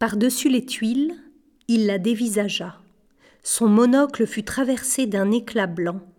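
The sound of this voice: This is an unforced reading voice. It carries ordinary pitch variation.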